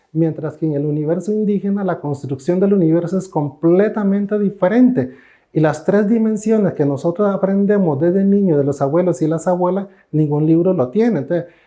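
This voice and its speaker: With a Costa Rican accent, the speaker talks at a fairly quick pace with ordinary pitch variation. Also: man, high pitch for a man. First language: Cabécar (speaking Spanish). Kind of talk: interview.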